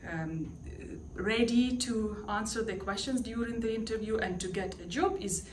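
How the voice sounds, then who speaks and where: Against noticeable background noise and audible room echo, a woman talks at a moderate pace in a fairly high pitch with ordinary pitch variation. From Ukraine. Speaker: language teacher. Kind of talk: testimonial interview. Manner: hesitant, many fillers.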